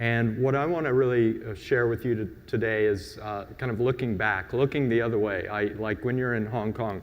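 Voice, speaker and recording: With a slight Southern US accent, a man speaks at a medium pitch and moderate pace, using ordinary pitch variation. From US Gulf Coast. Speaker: designer, conference panelist. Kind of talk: conference presentation.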